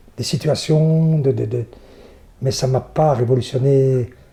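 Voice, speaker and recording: A man's voice, somewhat breathy, with ordinary pitch variation. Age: 60s. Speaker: theatre and circus performer. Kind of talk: interview. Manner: halting, many repetitions.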